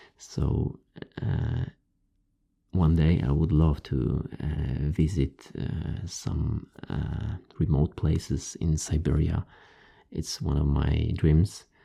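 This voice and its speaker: A dark, mellow tone with vocal fry and a Polish accent, very slow in pace, with ordinary pitch variation and long, frequent pauses. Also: man, very deep, low pitch for a man. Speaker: ASMR creator. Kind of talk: casual talk to camera, answering viewer questions. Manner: halting, with fillers.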